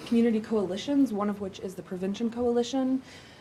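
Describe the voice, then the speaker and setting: A woman's somewhat breathy voice with ordinary pitch variation. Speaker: city mental health program coordinator. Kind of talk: presentation at a council meeting.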